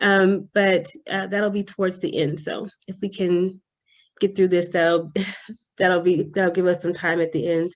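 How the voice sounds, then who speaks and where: A soft-spoken woman talks at a medium pitch and a fairly slow pace. Her intonation is monotone and flat, and the background is quiet. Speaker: presenter, adjunct psychology professor. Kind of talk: presentation.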